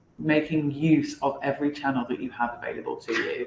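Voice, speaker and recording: A woman speaks at a fairly slow pace in a very deep, low voice, with audible echo in the room. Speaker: sales team leader. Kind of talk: lecture.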